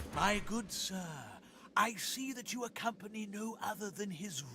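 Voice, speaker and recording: Over clear background noise, a put-on character voice with a fairly high pitch speaks at a fairly slow pace. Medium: game stream. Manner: reverent, formal.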